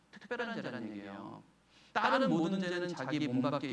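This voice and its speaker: The pitch swings very widely at a moderate pace. Noticeable background noise and audible room echo sit behind the voice. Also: man. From Chungcheong, Korea. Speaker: pastor. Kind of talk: sermon.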